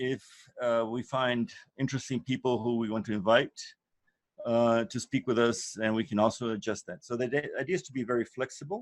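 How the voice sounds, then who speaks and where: Recorded dry and close with no echo, a man with a non-native accent talks at a medium pitch with ordinary pitch variation. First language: not English. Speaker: course leader. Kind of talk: online course introduction. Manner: hesitant, many fillers.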